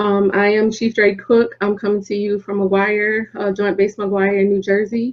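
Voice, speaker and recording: A woman with a Southern US accent talks at a fairly slow pace, barely pausing. Her medium-pitched voice stays monotone and flat. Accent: Southern twang. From South Carolina. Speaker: military senior enlisted leader. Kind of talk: panel discussion.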